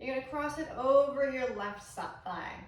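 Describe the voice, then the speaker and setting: Calm tone with an American accent, moderate pace and ordinary pitch variation, in audible room echo. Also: woman. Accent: Texas accent, occasional. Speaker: yoga instructor. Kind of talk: guided yoga class. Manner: calm, instructive.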